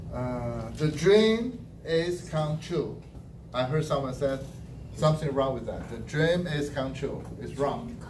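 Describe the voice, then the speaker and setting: Speaking at a very slow pace with a Chinese accent, a man is heard over noticeable background noise and audible room echo. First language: Mandarin Chinese. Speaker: language evaluator at a speaking club. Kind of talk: speech evaluation.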